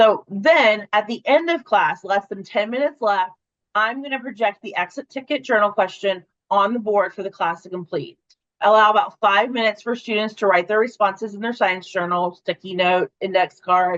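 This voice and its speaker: A woman talks in an ordinary speaking voice at a medium pitch with ordinary pitch variation and a moderate pace. The sound is dry and close, with no echo. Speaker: webinar presenter for an education company. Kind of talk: webinar presentation.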